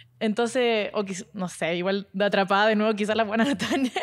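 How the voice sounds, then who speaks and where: A woman speaks fairly quickly, with a quiet background behind her. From southern Chile, Puerto Montt area; Chile. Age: 20s. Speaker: internet personality; podcast co-host. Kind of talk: casual chat. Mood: playful storytelling, gossip. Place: studio. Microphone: handheld.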